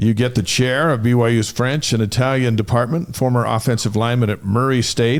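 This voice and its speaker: A man's a normal speaking voice, medium in pitch, with fairly even intonation, a fairly quick pace, hardly any pauses and very even loudness. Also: very clean recording, silent background. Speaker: sports show host. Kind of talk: talk show host introduction.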